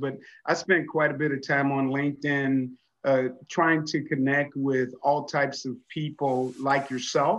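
Against a quiet background, a man with a fairly high voice talks at a moderate pace in a monotone, flat intonation. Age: 60s. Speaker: wellness coach. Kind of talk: interview conversation.

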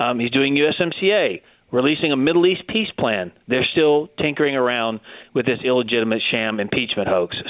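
Moving at a fairly quick pace, a man with an unremarkable speaking voice talks at a medium pitch with lively intonation and very even loudness. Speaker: government spokesperson. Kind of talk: interview.

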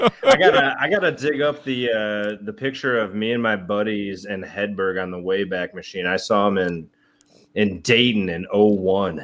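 A man with an unremarkable speaking voice talks at a moderate pace, his fairly low pitch carrying ordinary variation. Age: 40s. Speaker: podcast co-host. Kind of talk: casual chat.

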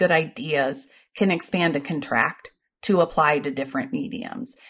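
A woman with an American accent speaks at a moderate pace in a somewhat breathy voice, her pitch swinging very widely. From Ohio, US Midwest. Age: 40s. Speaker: comedian, TV producer and author. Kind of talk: casual interview. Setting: remote call.

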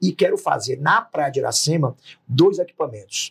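A man at a fairly quick pace, with a dry, close sound and no echo. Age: 40s. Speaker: politician, gubernatorial candidate. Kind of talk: political interview.

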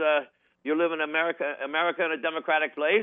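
Very fast speech from a man pitched fairly high. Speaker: singer and former banker. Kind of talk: interview. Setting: phone call.

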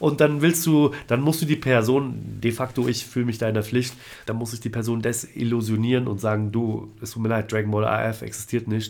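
Intonation is lively and the speed is moderate. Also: man. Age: 30s. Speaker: tattoo artist. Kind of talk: casual chat. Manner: hesitant, filler-heavy.

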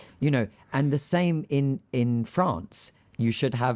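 Lively intonation in a British accent, on a very clean recording with a silent background. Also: man. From Greece. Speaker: aviation podcast host. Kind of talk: casual chat.

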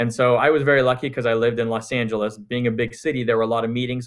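A man at a medium pitch, talking at a very fast pace in a monotone, flat intonation. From Canada, Montreal. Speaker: full-time passive real estate investor. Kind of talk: interview.

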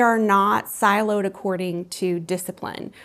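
In an American accent, a woman with an unremarkable speaking voice talks at a moderate pace and medium pitch, her intonation fairly even. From US South, Columbus, Georgia. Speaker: arts community founder and spiritual coach. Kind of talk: interview.

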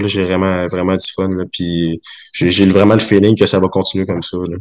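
In a Quebec accent, a man speaks at a moderate pace with a fairly low pitch and monotone, flat intonation. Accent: Québécois French. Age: 20s. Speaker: brewer. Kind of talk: casual chat. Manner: halting.

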